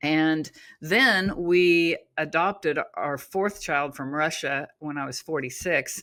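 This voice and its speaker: A woman's very deep, low-pitched voice with an American accent, bright and sharp in tone, with ordinary pitch variation on a very clean recording with a silent background. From Oklahoma. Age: 60s. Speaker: author and natural health coach. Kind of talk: interview conversation. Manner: casual, with frequent fillers.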